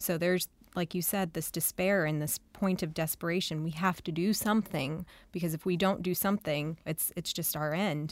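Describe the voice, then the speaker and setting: On a very clean recording with a silent background, a woman talks in a normal speaking voice at a fairly low pitch, with fairly even intonation and a moderate pace. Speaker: co-producer and research fellow. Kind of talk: academic discussion.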